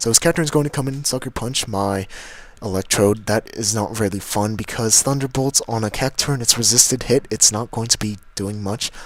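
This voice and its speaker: Fairly quick speech from a man, medium in pitch and with ordinary pitch variation. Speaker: gaming commentator. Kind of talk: game commentary narration. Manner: fast; casual.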